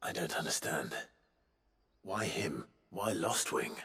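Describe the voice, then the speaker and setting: In a put-on character voice, a man speaks with a calm tone, a raspy sound and a very deep, low pitch at a fairly slow pace. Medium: video game. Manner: calm, understated.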